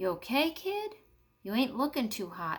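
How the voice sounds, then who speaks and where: A woman puts on a high-pitched character voice with very wide pitch swings. She speaks at a moderate pace. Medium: read story.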